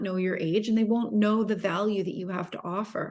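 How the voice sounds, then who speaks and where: A woman talks at a very fast pace in a fairly high pitch. Her intonation stays fairly even. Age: 50s. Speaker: entrepreneur and business mentor. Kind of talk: interview.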